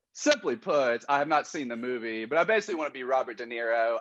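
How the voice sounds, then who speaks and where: Against a quiet background, a man with a Kentucky accent talks in a medium pitch. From Kentucky, Lexington. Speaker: listener guest. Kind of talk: casual chat.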